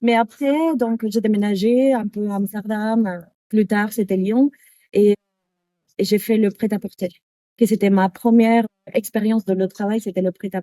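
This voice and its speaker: Speaking slowly with long, frequent pauses, a woman with a Spanish accent has a fairly high pitch, a dark, mellow tone and fairly even intonation, recorded with a dry, close sound and no echo. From Canary Islands, Spain (Tenerife). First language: Spanish (speaking French). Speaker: yoga teacher. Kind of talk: interview. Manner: halting.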